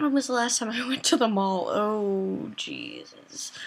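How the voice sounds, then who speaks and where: A soft-spoken woman with lively intonation, plus noticeable background noise. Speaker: vlogger. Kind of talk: casual chat. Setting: bedroom at home at night.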